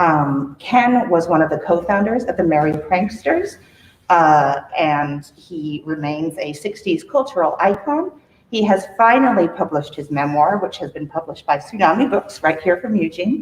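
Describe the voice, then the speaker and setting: Her pitch sits fairly low and her intonation is lively. The woman's voice is somewhat breathy. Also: moderate pace. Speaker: librarian. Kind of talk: event introduction.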